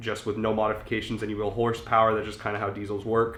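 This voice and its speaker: Fairly low-pitched male voice, flat and monotone, with audible room echo. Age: 20s. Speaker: car enthusiast YouTuber. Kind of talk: casual tutorial. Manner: casual, filler-heavy.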